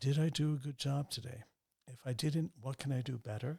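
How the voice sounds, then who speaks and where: This man's voice sits at a fairly high pitch and sounds somewhat breathy. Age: 60s. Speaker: banker and businessman. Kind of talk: interview conversation.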